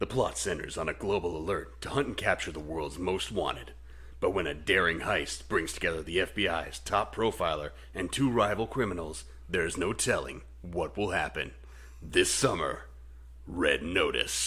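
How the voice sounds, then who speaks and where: A booming, put-on character voice goes at a moderate pace over noticeable background noise. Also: man, very deep, low pitch for a man. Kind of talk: trailer narration. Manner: dramatic, grand.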